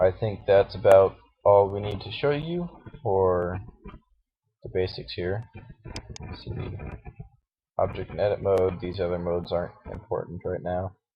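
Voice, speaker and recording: A man speaks with a fairly low pitch and a somewhat breathy sound, his intonation fairly even. Long pauses come often, and his loudness swings widely. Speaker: Blender tutorial maker. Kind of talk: software tutorial. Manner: hesitant, filler-heavy. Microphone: bad audio quality.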